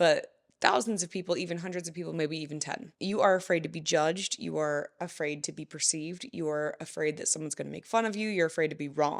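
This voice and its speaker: A woman talks at a very fast pace with hardly any pauses. Her pitch varies an ordinary amount, and the recording is very clean with a silent background. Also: fairly low pitch for a woman. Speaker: podcast host and life coach. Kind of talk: motivational podcast monologue. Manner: stutters and says like a lot; casual, fast talking.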